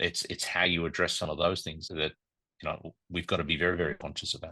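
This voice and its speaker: With a very deep, low pitch yet a bright, sharp tone, a man speaks at a very fast pace in a monotone, flat intonation. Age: 60s. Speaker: hotel group finance executive. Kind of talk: interview.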